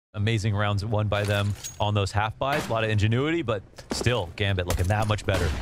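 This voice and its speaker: A man speaks at a fairly quick pace and a fairly low pitch, with ordinary pitch variation and very even loudness amid noticeable background noise. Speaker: esports caster. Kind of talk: live commentary. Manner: excitable.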